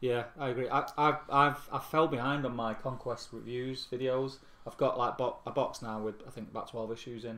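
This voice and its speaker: At a moderate pace and with hardly any pauses, a man with a Mancunian accent speaks in a bright, sharp tone at medium pitch, with fairly even intonation. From Manchester, England. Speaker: tabletop gaming channel co-host. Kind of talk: casual live-stream chat.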